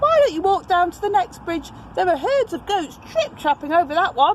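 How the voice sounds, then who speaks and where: Squeaky and extremely high-pitched, a woman performs a put-on character voice at a moderate pace over clear background noise. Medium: read story.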